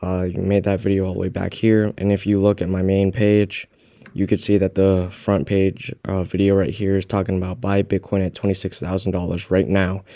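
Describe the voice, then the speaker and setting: A quiet man's voice, fairly low-pitched with a dark, mellow tone, flat and monotone at a moderate pace. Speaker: crypto YouTuber. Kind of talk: casual vlog commentary. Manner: quiet, keeping voice down.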